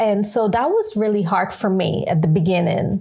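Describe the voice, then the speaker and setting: Fairly slow pace from a woman with a Guyanese accent, medium pitch and ordinary pitch variation. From Guyana. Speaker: podcast co-host. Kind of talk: casual chat.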